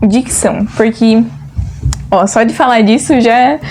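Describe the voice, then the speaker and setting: A woman speaks at a fairly high pitch with fairly even intonation, and there is noticeable background noise. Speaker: agronomy student vlogger. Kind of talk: casual vlog chat.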